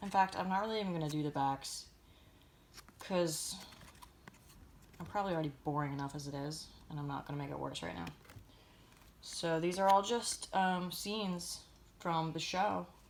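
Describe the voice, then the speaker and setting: Pausing long and often, a woman with a fairly low pitch speaks at a moderate pace with ordinary pitch variation. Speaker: collector. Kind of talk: casual talk to camera.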